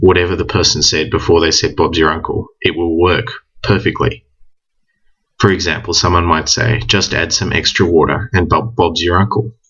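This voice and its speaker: A man with an Australian accent speaks at a moderate pace. His pitch is very deep and low, with ordinary variation. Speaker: language teacher. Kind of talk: tutorial.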